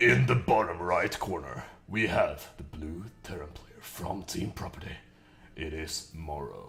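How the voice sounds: A man in a put-on character voice sounds raspy and gravelly, with a very deep, low pitch and a fairly slow pace.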